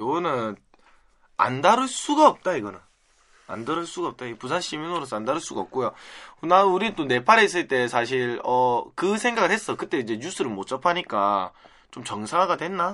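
A man with a Busan accent speaks at a fairly high pitch and a moderate pace, in a bright, sharp tone with very wide pitch swings. His loudness swings widely, over a quiet background. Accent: Busan (Gyeongsang) dialect Korean. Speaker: podcast host. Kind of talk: casual chat.

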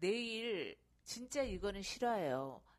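A woman speaks with lively intonation. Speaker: mother and amateur real estate investor. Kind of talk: personal testimony.

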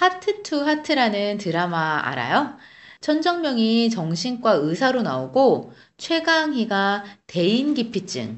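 A woman speaks at a very slow pace with very wide pitch swings. Audible room echo surrounds her voice. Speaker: Korean language podcast co-host. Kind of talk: language lesson chat.

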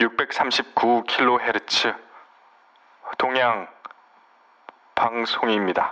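A man's medium-pitched voice, very slow, with monotone, flat intonation. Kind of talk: audiobook reading aloud of a literary nonfiction book. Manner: formal, measured narration with solemn, wistful tone; steady, clear and unhurried delivery.

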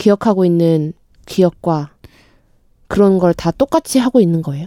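Recorded dry and close with no echo, a woman speaks at a medium pitch. Her tone is dark and mellow, with lively intonation. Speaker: freelance broadcaster, podcast co-host. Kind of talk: casual chat.

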